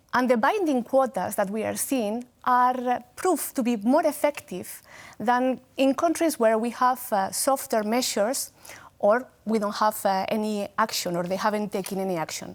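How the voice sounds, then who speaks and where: Spanish accent, very clean recording, silent background. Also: woman, fairly high pitch for a woman, ordinary pitch variation, moderate pace. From Spain. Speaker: gender equality expert. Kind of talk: TV interview. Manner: hesitant, many fillers.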